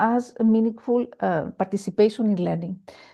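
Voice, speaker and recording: A woman with a Greek accent speaks at a moderate pace in a fairly high pitch with ordinary pitch variation. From Greece. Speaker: education panelist. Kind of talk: panel presentation. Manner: halting.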